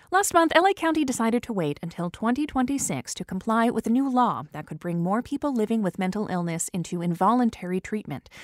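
In a very clean recording with a silent background, a woman with an unremarkable speaking voice talks at a fairly quick pace, with a fairly high pitch and lively intonation. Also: dry, close sound with no echo. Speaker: radio news host. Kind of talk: radio newsreading. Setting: studio. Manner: crisp, measured newsreader delivery; clear, even-paced and informative.

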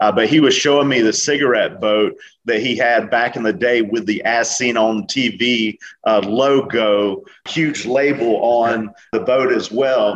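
A man speaks at a fairly slow pace, at a medium pitch with ordinary pitch variation. He has a plain, everyday voice with very even loudness. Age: 40s. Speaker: entrepreneur and author. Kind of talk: podcast interview. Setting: remote call.

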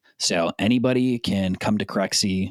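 In a Californian accent, a man speaks with fairly even intonation in a dry, close sound with no echo. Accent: Californian American. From Southern California, South Bay. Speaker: commercial real estate platform business developer. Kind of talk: casual interview.

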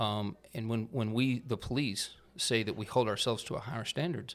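On a very clean recording with a silent background, a man with a Texan accent speaks at medium pitch. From Texas. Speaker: police chief. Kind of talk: casual interview.

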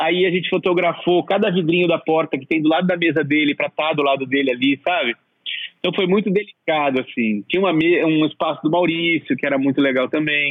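This man has an unremarkable speaking voice, fairly high in pitch. He moves at a fairly quick pace with ordinary pitch variation. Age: 40s. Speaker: art director and exhibition set designer. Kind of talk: interview.

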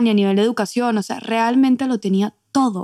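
At a very fast pace, a woman with a Venezuelan accent speaks at a fairly high pitch with ordinary pitch variation, the sound dry and close with no echo. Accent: Venezuelan Spanish, kept. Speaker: podcast co-host, immigrant. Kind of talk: casual chat.

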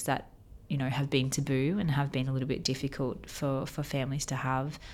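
Very clean recording with a silent background, featuring a woman at a very deep, low pitch. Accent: Australian. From Australia. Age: 30s. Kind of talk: interview.

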